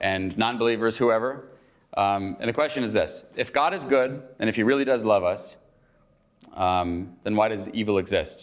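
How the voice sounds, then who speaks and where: A man with an American accent has an ordinary speaking voice at medium pitch. He talks at a moderate pace with ordinary pitch variation. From United States. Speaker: chapel speaker. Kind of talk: informal chapel talk. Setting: morning chapel gathering. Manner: casual, with frequent fillers.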